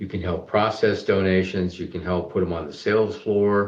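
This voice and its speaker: The delivery comes at a moderate pace. Its intonation is monotone and flat. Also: man. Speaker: charity business CEO and founder. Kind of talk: interview.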